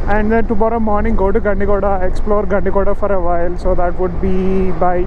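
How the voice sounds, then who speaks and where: Speech comes at a fairly quick pace with noticeable background noise and a dry sound with no echo. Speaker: motovlogger. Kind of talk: casual vlog chat. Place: motorbike. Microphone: helmet.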